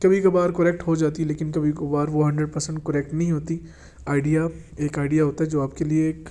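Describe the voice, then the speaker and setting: A man talks in a flat monotone. His pitch is fairly high, with a dark, mellow tone. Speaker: vehicle auctioneer and YouTube channel host. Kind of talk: casual talk to camera about upcoming vehicle auction.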